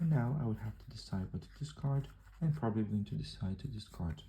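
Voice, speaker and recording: A soft-spoken man is whispering. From southern Brazil. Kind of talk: ASMR card game tutorial. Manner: whispered, soft-spoken.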